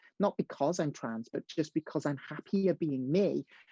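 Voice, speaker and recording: This talker moves at a moderate pace. A British accent comes through. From rural North Wales. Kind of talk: webinar panel discussion. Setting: online webinar. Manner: halting, many repetitions and fillers.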